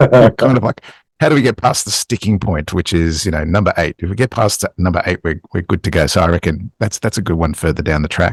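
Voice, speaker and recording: Somewhat breathy and at a fairly quick pace, the voice with an Australian accent has lively intonation in a dry, close sound with no echo. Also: man, very deep, low pitch for a man. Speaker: podcast co-host. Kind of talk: casual chat.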